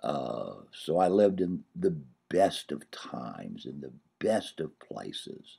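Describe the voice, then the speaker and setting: With an American accent, a man speaks at a very slow pace, his loudness swinging widely. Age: 60s. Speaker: comedian. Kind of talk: personal video diary. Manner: halting.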